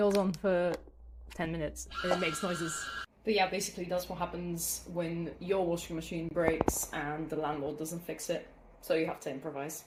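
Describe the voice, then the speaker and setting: A woman with a fairly low pitch speaks at a moderate pace in a monotone, flat intonation over noticeable background noise. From Bulgaria. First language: Bulgarian. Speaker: crochet YouTuber. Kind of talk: tutorial. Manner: casual, chatty.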